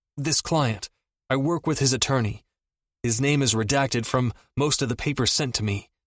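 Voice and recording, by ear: In a quiet setting, the speaker reads aloud in a natural voice, the pitch varying in an ordinary way.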